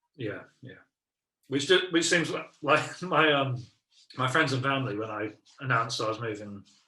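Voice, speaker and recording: A man with an English accent speaks at medium pitch and a moderate pace, his bright, sharp tone showing ordinary pitch variation. His loudness swings widely, with long, frequent pauses. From South London, England. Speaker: improv comedian. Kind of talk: casual chat. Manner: halting, many fillers.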